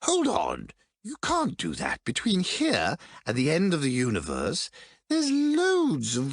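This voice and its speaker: A put-on character voice moves at a fairly slow pace over a quiet background. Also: man. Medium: audio drama. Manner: fussy, stammering, old-fashioned.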